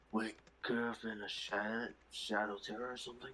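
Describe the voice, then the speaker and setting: Using a put-on character voice, a man speaks at a medium pitch and a moderate pace with monotone, flat intonation. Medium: actual play. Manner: casual, conversational.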